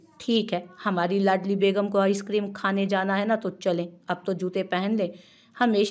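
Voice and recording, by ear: Someone is reading aloud in a natural voice. The delivery stays that way throughout.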